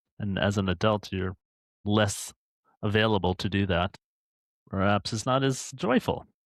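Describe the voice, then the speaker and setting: Over a quiet background, a man with a fairly low pitch speaks at a moderate pace with long, frequent pauses, in a dry, close sound with no echo. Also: fairly even intonation. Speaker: podcast co-host. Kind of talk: casual chat. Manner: loud.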